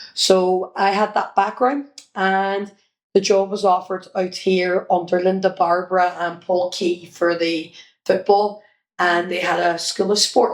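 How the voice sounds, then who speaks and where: A woman speaks at a fairly slow pace with a Northern Irish accent. Her pitch is medium and her intonation fairly even. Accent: Derry Northern Irish. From Northern Ireland, Derry. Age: 50s. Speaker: children's entertainer and former sports coach. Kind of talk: interview. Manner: casual, hesitant with fillers.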